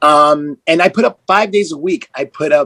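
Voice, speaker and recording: A man's enthusiastic tone and lively intonation in dry, close sound with no echo. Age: 40s. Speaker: life coach. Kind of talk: podcast interview. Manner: fast.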